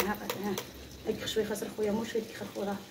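Noticeable background noise runs under the speech. The pace is fairly quick. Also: woman. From Morocco. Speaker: cooking vlogger. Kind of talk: casual vlog chat while cooking.

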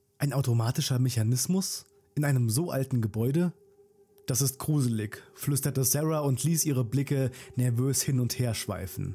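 A man speaks at a medium pitch in a dark, mellow tone that is somewhat breathy, with ordinary pitch variation. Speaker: storyteller narrator. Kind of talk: horror story narration. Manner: hushed, suspenseful, slow-paced; addresses listeners directly, friendly.

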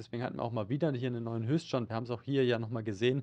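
The speaker is a man. His delivery keeps a fairly even intonation. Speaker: stock market analyst. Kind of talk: market update discussion. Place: studio. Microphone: studio mic.

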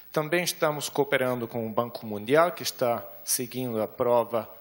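Speaking with a German accent, a man talks at a fairly slow pace. His pitch is fairly high, with ordinary variation. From Germany. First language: German (speaking Portuguese). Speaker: development bank specialist presenting at a conference; conference presenter. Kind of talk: conference presentation. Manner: hesitant, many fillers. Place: hall. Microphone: handheld.

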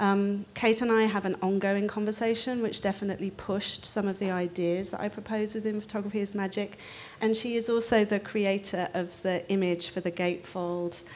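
The speaker keeps a monotone, flat intonation at a moderate pace. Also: woman. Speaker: panel moderator. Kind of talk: panel introduction. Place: hall.

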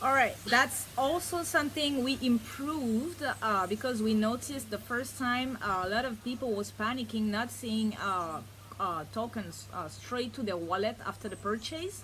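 A woman speaks with hardly any pauses, in a plain, everyday voice. Her intonation is lively. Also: fairly high pitch for a woman, moderate pace. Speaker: crypto project team member. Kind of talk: interview.

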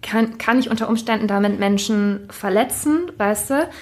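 A woman speaks in a plain, everyday voice at a fairly high pitch. Her pace is fairly slow, with ordinary pitch variation. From Germany, small town. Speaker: podcast host. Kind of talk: casual chat.

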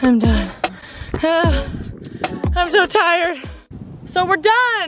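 A woman speaks with music in the background. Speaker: runner vlogger. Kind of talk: casual vlog chat. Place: stadium. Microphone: phone near.

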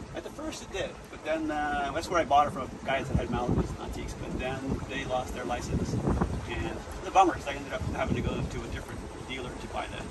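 Very rapid male speech, loud background noise all around. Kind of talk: interview answer. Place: boat. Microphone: phone near.

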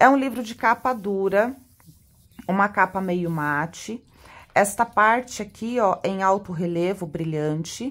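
A woman of medium pitch talks at a very slow pace. The very clean recording has a silent background. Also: ordinary pitch variation. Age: 30s. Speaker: tarot reader and teacher. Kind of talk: product unboxing video. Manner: animated.

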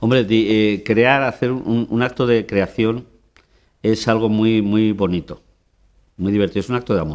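A man's fairly low voice with fairly even intonation, a fairly slow pace and long, frequent pauses, over a quiet background. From Spain. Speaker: theatre director; interviewee. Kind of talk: interview. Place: hall.

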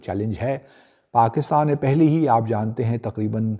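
At a fairly slow pace, a dark, mellow voice moves with lively intonation over a quiet background. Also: man. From Pakistan. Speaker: commentator answering viewer questions. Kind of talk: viewer Q&A commentary. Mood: serious, earnest appeal. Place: home room.

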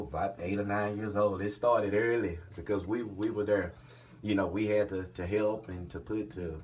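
A man speaks at a fairly low pitch. His voice is somewhat breathy. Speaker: father, channel host. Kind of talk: casual talk to camera. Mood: warm, grateful, smiling. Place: home room. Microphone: phone near.

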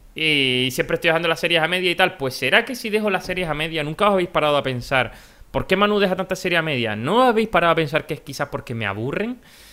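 A man's high-pitched, bright, sharp voice at a very fast pace with lively intonation. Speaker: gaming youtuber. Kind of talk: casual vlog talk. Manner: quieter than usual. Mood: earnest, serious. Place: home room. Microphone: webcam.

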